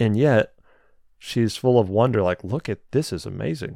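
A man's unremarkable speaking voice, medium in pitch, at a moderate pace over a quiet background. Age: 20s. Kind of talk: solo teaching talk. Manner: conversational, with frequent repetitions.

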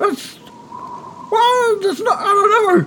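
An extremely high-pitched, squeaky put-on character voice. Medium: actual play. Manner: slow, simple, broken grammar.

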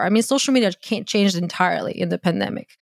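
A woman's medium-pitched voice with a Croatian accent, in a dry, close sound with no echo. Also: very clean recording, silent background. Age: 30s. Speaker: content creator and dating coach. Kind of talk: casual interview chat.

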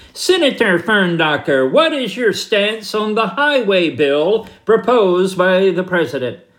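In a put-on character voice with a Northeastern US accent, the speaker talks nasally at a middle pitch and a fairly slow pace. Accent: Northeastern, liberal-sounding. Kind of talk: formal reporter question.

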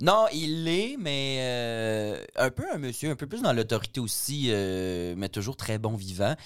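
A man with a medium pitch and lively intonation talks at a very slow pace with hardly any pauses. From Quebec, Richelieu valley. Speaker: comedian and drag queen. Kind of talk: casual chat.

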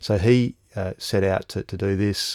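Recorded very cleanly over a silent background, with a dry, close sound and no echo, a man with an Australian accent speaks at a fairly low pitch in a dark, mellow tone. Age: 40s. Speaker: strategic foresight consultant. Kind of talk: interview conversation. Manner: halting, frequent repetitions and fillers.

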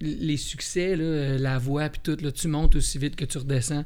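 A man talks at a fairly slow pace with a fairly high pitch and ordinary pitch variation. Audible room echo surrounds his voice. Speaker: musician. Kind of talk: casual interview.

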